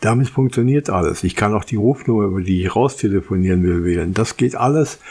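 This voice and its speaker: A man's medium-pitched, dark and mellow voice with ordinary pitch variation. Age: old. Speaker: tech podcast host. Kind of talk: solo podcast monologue.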